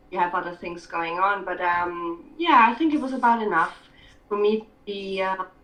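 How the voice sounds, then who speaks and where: Noticeable background noise runs under the recording. A woman speaks at a medium pitch with ordinary pitch variation. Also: moderate pace. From Scotland. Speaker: writer and filmmaker. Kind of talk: interview. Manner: hesitant.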